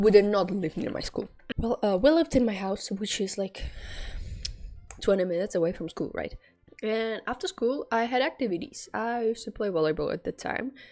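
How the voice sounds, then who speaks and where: Music plays in the background as a woman talks at a fairly quick pace. She has a non-native accent and ordinary pitch variation. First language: not English. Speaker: student storyteller, streamer. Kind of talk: casual storytime monologue. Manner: halting, many fillers.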